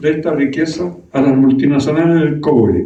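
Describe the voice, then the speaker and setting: A man talks with audible echo from the room around him. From Chile, Araucanía region. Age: 90s. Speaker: former senator, politician. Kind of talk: political speech. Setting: meeting with audience.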